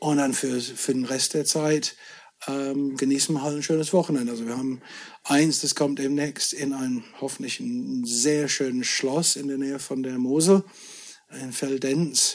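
A man's fairly high, flat, monotone voice at a moderate pace, over noticeable background noise. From Scotland. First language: English (speaking German). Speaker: whisky merchant. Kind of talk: casual chat.

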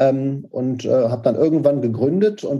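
A somewhat breathy man talks at a fairly slow pace with a dark, mellow tone. His pitch is medium, with ordinary variation. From Germany, Paderborn (Westphalia). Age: 40s. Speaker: startup founder. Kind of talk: interview. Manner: hesitant, many fillers.

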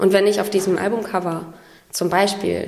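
A woman's medium-pitched voice moves at a moderate pace against noticeable background noise. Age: 30s. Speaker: singer-songwriter. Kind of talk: interview. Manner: hesitant with many fillers.

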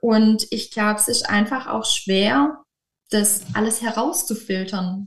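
A woman with a fairly high, somewhat breathy voice speaks at a fairly slow pace. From southern Germany, near Stuttgart (Swabia). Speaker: kindergarten teacher. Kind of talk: interview.

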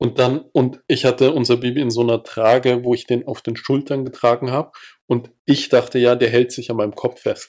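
At a moderate pace, a man speaks at medium pitch in a flat monotone. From Salzburg, Austria. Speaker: podcast host. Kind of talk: casual chat.

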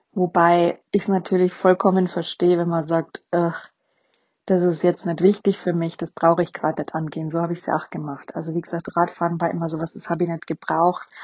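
Words come at a fairly quick pace. The delivery is monotone, with flat intonation. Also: woman, fairly low pitch for a woman. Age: 40s. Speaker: podcast host. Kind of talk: casual monologue. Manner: hesitant with fillers.

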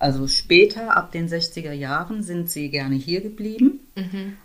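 This woman has a plain, everyday voice, fairly low in pitch, with lively intonation. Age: 60s. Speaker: community organizer and activist. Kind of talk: interview conversation.

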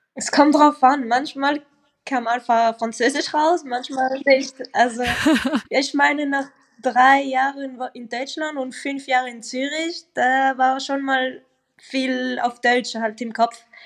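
In a French-Swiss accent, a woman speaks at a very slow pace and high pitch with fairly even intonation. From French-speaking Switzerland. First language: French (speaking German). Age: young. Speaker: professional footballer. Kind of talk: casual interview.

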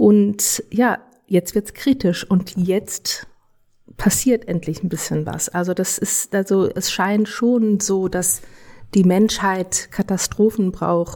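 Against a very clean, silent background, a woman speaks very slowly at medium pitch in a dark, mellow tone, with fairly even intonation and long, frequent pauses. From Germany. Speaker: legal scholar. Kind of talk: interview. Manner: halting.

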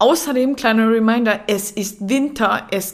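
The speaker is a woman. Her pitch is high. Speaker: fitness coach and podcaster. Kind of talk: casual solo podcast talk. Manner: casual, chatty.

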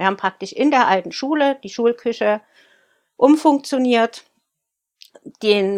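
A woman speaks at a moderate pace with ordinary pitch variation in an ordinary speaking voice. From Saxony, Germany (Freiberg). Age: 40s. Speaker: baker and bakery owner. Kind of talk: interview.

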